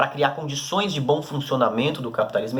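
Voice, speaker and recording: Over noticeable background noise, a man speaks at a very fast pace in a medium pitch with ordinary pitch variation. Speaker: teacher. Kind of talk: recorded lesson.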